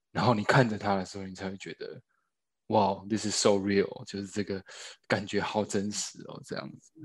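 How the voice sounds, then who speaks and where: Speaking at a moderate pace, a man uses a fairly low pitch and a flat monotone. His loudness swings widely. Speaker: actor, new father. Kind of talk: casual chat interview.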